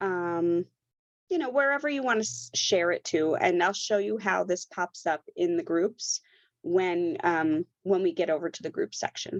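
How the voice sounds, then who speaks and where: Speaking at a fairly slow pace, a woman's pitch swings very widely, the sound dry and close with no echo over a quiet background. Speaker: knitwear designer and knitting instructor. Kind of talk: tutorial. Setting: online workshop with screen sharing.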